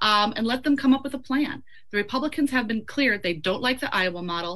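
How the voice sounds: Her voice fairly high, a woman speaks in a bright, sharp tone with ordinary pitch variation. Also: fairly quick pace.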